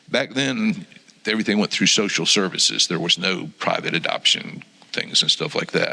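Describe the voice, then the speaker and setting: There is noticeable background noise behind this man. His pitch swings very widely. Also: medium pitch for a man, moderate pace. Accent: American. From Florida. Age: 60s. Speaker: church member sharing testimony. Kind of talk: testimony. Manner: halting, many ums.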